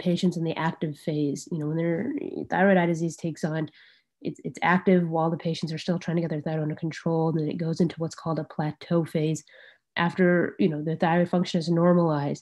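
Against a quiet background, a woman with a General American accent talks at a fairly quick pace, with a fairly low pitch and ordinary pitch variation. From Arizona. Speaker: ophthalmologist; presenter. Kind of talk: lecture. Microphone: video call.

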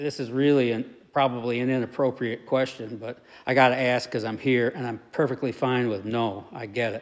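With fairly even intonation, a man talks at a moderate pace. Nothing much is heard behind him. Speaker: interviewer, video host. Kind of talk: interview questions, casual chat. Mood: curious, admiring. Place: garage. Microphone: phone near.

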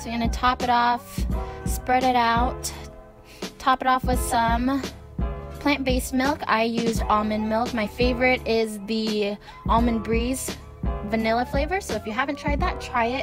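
Music runs behind a woman who talks at a moderate speed. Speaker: vegan food vlogger. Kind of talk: casual recipe talk to camera.

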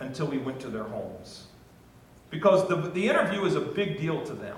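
Strong room echo surrounds a man with an American accent whose pitch makes big swings.

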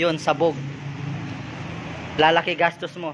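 A man talks in a monotone, flat intonation. Light background noise is present. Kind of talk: casual vlog commentary. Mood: relaxed, light laughter. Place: garage. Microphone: phone near.

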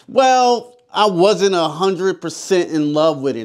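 A man's very wide pitch swings carry over a quiet background as he talks at a fairly slow pace. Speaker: movie reviewer. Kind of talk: review commentary. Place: studio.

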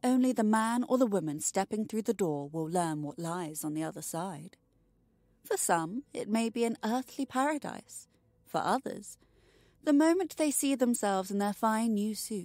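The voice has a dark, mellow tone and very wide pitch swings. The recording is very clean, with a silent background. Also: woman. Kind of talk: bedtime story narration, reading aloud. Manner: slow, hushed, atmospheric storytelling.

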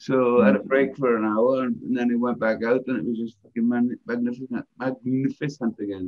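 Lively intonation from a man, quiet all around. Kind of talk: casual chat among friends. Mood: enthusiastic, swearing freely. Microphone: video call.

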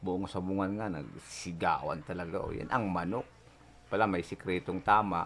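A man's very deep, low voice at a moderate pace, fairly even in intonation, with light background noise. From Philippines, province. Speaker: YouTuber, cockfighting enthusiast; YouTuber. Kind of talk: casual vlog storytelling. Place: home room. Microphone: phone near.

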